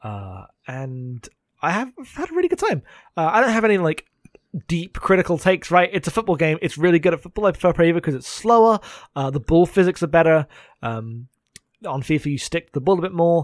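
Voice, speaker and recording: In an English accent, a high-pitched man talks at a fairly quick pace with lively intonation and long, frequent pauses, the sound dry and close with no echo and the recording very clean with a silent background. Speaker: podcast co-host. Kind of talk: casual chat.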